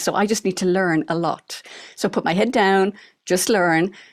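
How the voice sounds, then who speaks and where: A woman with an Irish accent. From Ireland. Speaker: retired doctor and author. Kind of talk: interview. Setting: studio.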